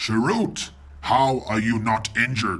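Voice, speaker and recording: A man growls in a put-on character voice at a medium pitch, with ordinary pitch variation. He goes at a fairly slow pace over light background noise. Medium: read story. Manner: gruff, grumbling.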